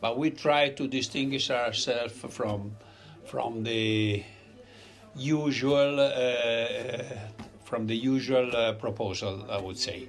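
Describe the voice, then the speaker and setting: Room echo is audible as a man of medium pitch speaks at a very slow pace with fairly even intonation over noticeable background noise. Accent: Italian. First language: Italian. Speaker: restaurant owner. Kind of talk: interview. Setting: in a restaurant. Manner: halting.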